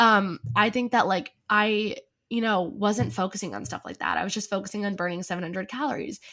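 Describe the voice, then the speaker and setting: Bright, sharp female voice at a medium pitch with vocal fry, an American accent, ordinary pitch variation and a fairly quick pace, in a very clean recording with a silent background. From New Jersey. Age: 20s. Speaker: content creator and journalist. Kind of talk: casual chat.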